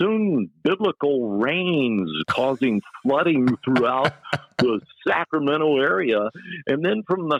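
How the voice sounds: Someone reads in a natural voice, the intonation lively throughout.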